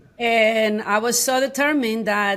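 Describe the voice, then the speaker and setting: With a strong Mexican accent, a woman talks at a fairly slow pace and fairly high pitch, with ordinary pitch variation, in a very clean recording with a silent background. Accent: thick Mexican Spanish. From Mexico, San Luis Potosí. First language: Spanish. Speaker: high school Spanish teacher. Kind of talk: interview conversation. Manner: halting, many restarts.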